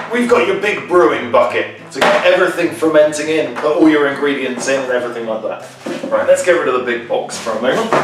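Amid audible room echo and noticeable background noise, a man talks at a very fast pace with hardly any pauses. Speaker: presenter. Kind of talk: product demo unboxing. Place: kitchen. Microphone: camera far.

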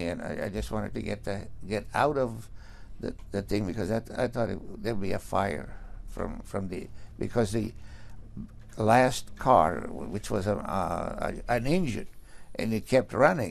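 A man's fairly low voice with vocal fry, at a fairly slow pace. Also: ordinary pitch variation. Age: 80s+. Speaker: accident survivor. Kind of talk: interview testimony. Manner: halting, many stammers and restarts. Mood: shaken, recounting fear.

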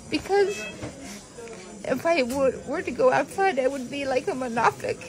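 Over noticeable background noise, a woman with an American accent speaks at a high pitch and moderate pace with lively intonation. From United States. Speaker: teacher. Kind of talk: interview answer. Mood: pained, emotional, weak. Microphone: phone near.

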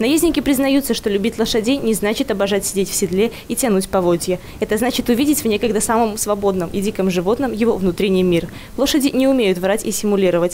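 A woman speaks at a very fast pace with very even loudness and ordinary pitch variation. Noticeable background noise can be heard. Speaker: TV journalist. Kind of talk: scripted narration.

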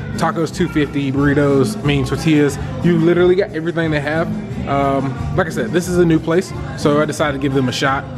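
A man speaks at a very fast pace while music plays in the background. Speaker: restaurant reviewer vlogger. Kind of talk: casual vlog chat. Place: cafe. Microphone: phone near.

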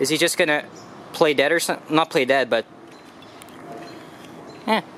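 Speech comes at a moderate pace with ordinary pitch variation. The tone is fairly bright. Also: man, fairly high pitch for a man.

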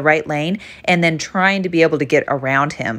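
The speaker keeps a fairly quick pace with ordinary pitch variation. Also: woman. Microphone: phone near.

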